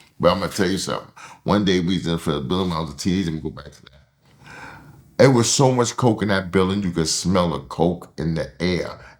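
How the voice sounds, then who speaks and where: A man's very deep, low voice at a very fast pace, with ordinary pitch variation and big swings in loudness. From Harlem, New York City. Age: 60s. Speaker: interviewee, Harlem native. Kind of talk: casual interview storytelling.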